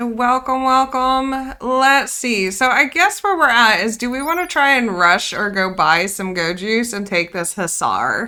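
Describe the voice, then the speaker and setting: Loud and fairly slow with hardly any pauses, a woman speaks in a high pitch with lively intonation and a bright, sharp tone on a very clean recording with a silent background. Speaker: video game streamer. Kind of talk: live gameplay stream chat. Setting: live stream.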